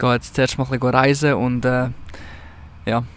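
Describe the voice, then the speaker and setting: At a fairly quick pace, a man speaks. His intonation is monotone and flat. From Switzerland, canton of Zug. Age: 20s. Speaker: podcaster. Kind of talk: casual chat. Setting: outdoors.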